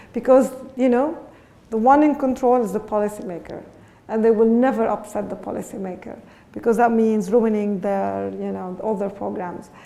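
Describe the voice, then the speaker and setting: Fairly high-pitched woman at a moderate pace, ordinary pitch variation, with audible room echo. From Lebanon. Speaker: education researcher. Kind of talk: lecture. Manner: halting.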